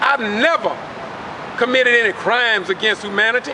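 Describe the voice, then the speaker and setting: A man with an extremely high pitch and an American accent, in a raised, projected voice at a moderate pace, with ordinary pitch variation and noticeable background noise. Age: 60s. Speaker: citizen journalist. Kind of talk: street video monologue.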